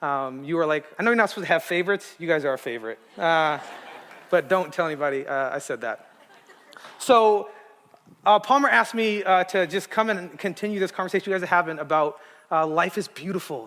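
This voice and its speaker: A man with a West Coast US accent, high in pitch, at a very fast pace with lively intonation. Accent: General American, West Coast. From Arizona, Tucson. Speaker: guest preacher. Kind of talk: sermon. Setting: church stage with audience. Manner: casual, with many filler words.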